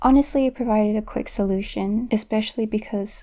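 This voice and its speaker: A woman speaks in a dark, mellow tone that is somewhat breathy, with fairly high pitch and fairly even intonation. The recording is very clean, with a silent background. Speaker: self-taught artist, art tutorial creator. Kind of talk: voiceover commentary over drawing process. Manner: pauses often.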